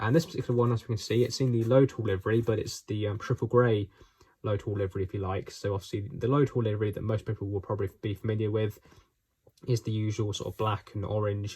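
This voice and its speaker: A man's somewhat breathy voice in a dark, mellow tone at a very fast pace, on a very clean recording with a silent background. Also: fairly low pitch for a man, fairly even intonation. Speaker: model railway reviewer. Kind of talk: product review. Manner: halting, many fillers.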